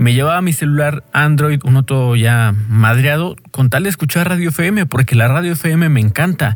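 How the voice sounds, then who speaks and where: At a moderate pace, a man with a fairly high pitch talks with very even loudness and hardly any pauses. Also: ordinary pitch variation. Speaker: podcaster and DJ. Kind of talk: casual monologue. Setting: home bedroom. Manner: halting.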